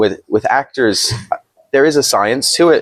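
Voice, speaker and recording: Speaking at a moderate pace with ordinary pitch variation, a man with an American accent has an unremarkable speaking voice. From United States. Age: 30s. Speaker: filmmaker and director. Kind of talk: interview conversation.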